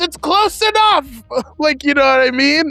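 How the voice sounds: The pitch is high in this put-on character voice. Its pace is moderate.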